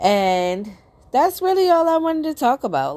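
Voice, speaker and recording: A woman speaks in a dark, mellow tone. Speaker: motivational podcaster. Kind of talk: motivational monologue. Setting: solo recording. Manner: casual, conversational with fillers.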